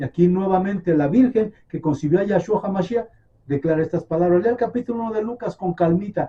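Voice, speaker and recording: Here a man talks at a fairly quick pace with lively intonation. His voice is high-pitched, with a dark, mellow tone. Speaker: messianic bible teacher. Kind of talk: sermon.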